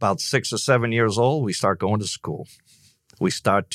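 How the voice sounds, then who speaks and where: The speaker has a Boston accent and ordinary pitch variation. The recording is very clean and dry, close with no echo, over a silent background. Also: man. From Boston, Massachusetts (born in Ireland). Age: 60s. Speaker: business coach. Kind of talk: casual interview chat.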